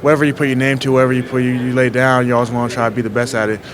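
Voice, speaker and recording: There is noticeable background noise and audible room echo as a man talks at a medium pitch. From Haiti, moved to US around age nine. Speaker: college football player. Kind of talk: press interview. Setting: media session at a scouting event. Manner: casual, repetitive, many fillers.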